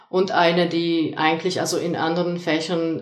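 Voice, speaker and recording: The speech is very slow. Room echo is audible. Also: woman. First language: Polish (speaking German). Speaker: lecturer and soft skills coach. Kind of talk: casual discussion. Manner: hesitant with many fillers.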